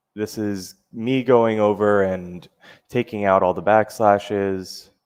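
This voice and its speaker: A man's fairly low voice at a very slow pace, monotone and flat. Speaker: cybersecurity meetup presenter. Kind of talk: tutorial.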